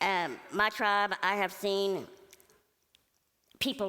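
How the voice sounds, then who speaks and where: A woman speaks loudly on a very clean recording with a silent background. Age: middle-aged. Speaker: church member giving testimony. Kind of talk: testimony. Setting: stage with audience.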